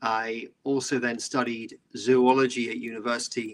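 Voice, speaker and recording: A man's medium-pitched voice with a British accent, bright, sharp tone and fairly even intonation. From southeast England. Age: 50s. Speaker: environmental entrepreneur. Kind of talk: interview.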